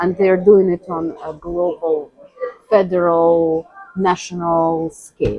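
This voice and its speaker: This woman speaks very slowly with a Russian accent, her pitch fairly low. Her intonation is monotone and flat. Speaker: interviewee. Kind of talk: interview conversation. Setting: cafe.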